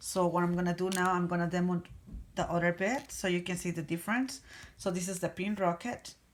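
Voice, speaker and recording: Speaking at a fairly quick pace with a non-native accent, a woman keeps her intonation fairly even. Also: fairly low pitch for a woman. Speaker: nail technician. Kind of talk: product tutorial demo. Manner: casual, hesitant.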